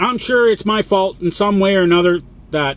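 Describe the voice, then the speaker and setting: Over noticeable background noise, a man speaks loudly at a high pitch. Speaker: truck driver vlogger. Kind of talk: vlog rant. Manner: animated.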